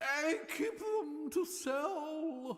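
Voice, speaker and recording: A high-pitched put-on character voice. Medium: game stream. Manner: nervous, flustered.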